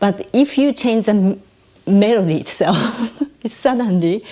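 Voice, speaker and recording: A woman speaks with a Japanese accent at a moderate pace. Noticeable background noise runs underneath. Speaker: stage adaptor and translator. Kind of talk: interview conversation. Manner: halting, non-native phrasing.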